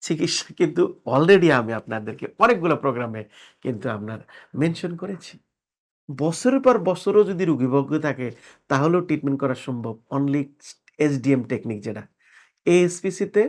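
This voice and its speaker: A man's plain, everyday voice, fairly high in pitch, with lively intonation and big swings in loudness, on a very clean recording with a silent background. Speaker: manipulation therapist. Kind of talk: health explainer to camera.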